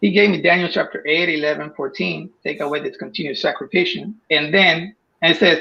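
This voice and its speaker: A moderate pace and a Spanish accent over a quiet background. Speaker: caller. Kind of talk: casual chat. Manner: halting.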